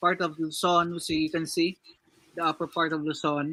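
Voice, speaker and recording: A fairly high-pitched man's voice with a Filipino accent, a bright, sharp tone and monotone, flat intonation. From Philippines, Visayas. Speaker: crypto community member. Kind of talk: casual chat. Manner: halting.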